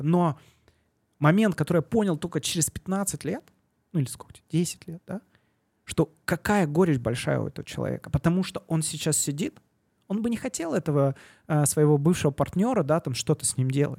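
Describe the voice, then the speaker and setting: A man's fairly high voice, dark and mellow in tone, with ordinary pitch variation, a moderate pace and long, frequent pauses, in a dry, close sound with no echo. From southern Russia, Yeysk. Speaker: venture capital investor. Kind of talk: casual interview. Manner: hesitant, many fillers.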